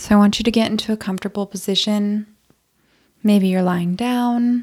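A woman's medium-pitched voice, dark and mellow, calm and soothing, on a very clean recording with a silent background. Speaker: podcast host and endometriosis coach. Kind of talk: guided meditation. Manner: calm, soothing; slow, gentle pacing.

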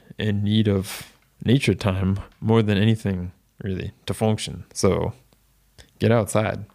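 This is an ordinary speaking voice from a man with an American accent. His pitch is fairly low and his pace fairly slow. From Florida, US. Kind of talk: casual interview chat. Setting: remote video call.

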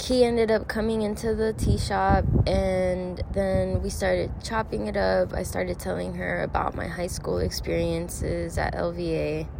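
A woman speaks at a fairly slow pace with an American accent, over noticeable background noise. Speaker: podcast host. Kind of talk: casual chat, interview. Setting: cafe, boba shop. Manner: casual, uses slang.

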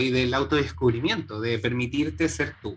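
A man talks at a fairly slow pace and medium pitch. Noticeable background noise runs under the speech. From Chile, Santiago. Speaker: chiropractor and entrepreneur. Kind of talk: interview conversation.

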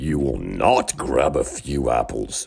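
A man puts on a character voice that is creaky and raspy with a very deep, low pitch. He speaks at a fairly slow pace. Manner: stern, scolding.

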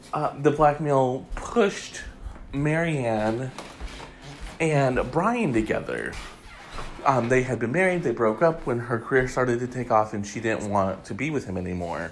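Fairly slow speech with lively intonation over music in the background. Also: man, medium pitch for a man. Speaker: celebrity gossip podcast host. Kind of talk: solo casual commentary.

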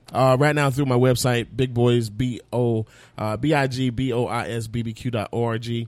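A man with an American accent speaks at a medium pitch with monotone, flat intonation. The recording is very clean, with a silent background. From Fort Myers, Florida. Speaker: barbecue sauce business owner. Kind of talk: casual interview chat.

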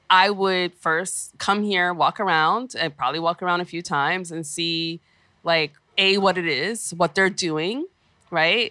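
A bright, sharp tone comes at a fairly slow pace in a very clean recording with a silent background, dry and close with no echo. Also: woman. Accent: New York. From New York City, Brooklyn. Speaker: founder of a cultural venture. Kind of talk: interview. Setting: radio studio.

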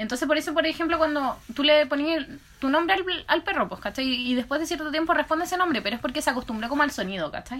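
Talking very fast, a woman uses a high-pitched voice with ordinary pitch variation. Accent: Chilean. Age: 20s. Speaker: podcast co-host. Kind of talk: casual chat.

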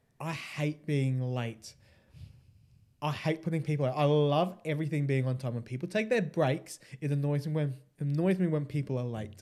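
Speaking with an Australian accent, a man has a fairly high voice with a dark, mellow tone. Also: ordinary pitch variation, moderate pace. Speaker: podcast co-host. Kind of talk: casual chat.

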